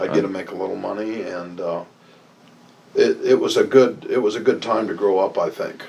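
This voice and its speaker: Speaking at a moderate pace with an American accent, a man shows big swings in loudness. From Nebraska, US Midwest. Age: 60s. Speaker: interviewee recalling the past. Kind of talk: oral history interview. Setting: office.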